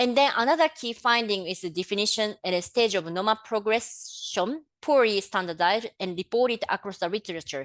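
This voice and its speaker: Against a quiet background, a woman with a non-native accent talks at a medium pitch. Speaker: public health official. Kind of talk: webinar presentation. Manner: halting, many fillers.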